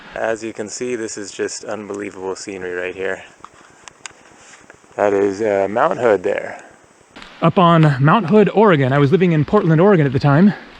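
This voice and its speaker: Amid noticeable background noise, a man with a medium pitch speaks at a moderate pace, with very wide pitch swings, big swings in loudness, and long, frequent pauses. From Northern California. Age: 40s. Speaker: travel vlogger. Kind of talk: casual vlog narration while walking. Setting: outdoors on a hiking trail. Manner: relaxed, with frequent fillers.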